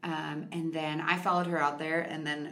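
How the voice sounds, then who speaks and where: Amid audible room echo, a woman with a fairly low pitch talks at a very fast pace. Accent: Upper Midwest. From Minnesota (Victoria, near Chaska). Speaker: podcast guest. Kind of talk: casual interview.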